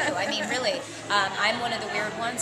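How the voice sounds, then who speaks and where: Amid crowd noise and audible room echo, a woman talks at a very fast pace. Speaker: social media strategist, fitness blogger. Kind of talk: casual interview. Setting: at a social media event. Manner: loud; animated. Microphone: far from the mic.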